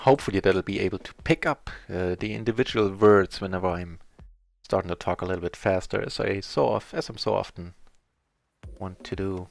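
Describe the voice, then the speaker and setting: Music plays in the background as a man with a very deep, low pitch speaks at a fairly quick pace. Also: ordinary pitch variation. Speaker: poker streamer. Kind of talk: live game stream commentary. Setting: live stream. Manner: fast.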